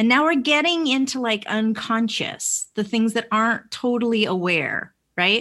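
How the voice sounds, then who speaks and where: A woman with an American accent speaks in a plain, everyday voice at a fairly slow pace, her fairly high pitch carrying lively intonation on a very clean recording with a silent background. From Vermont, US. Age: 40s. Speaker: life coach and NLP trainer. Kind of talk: casual interview.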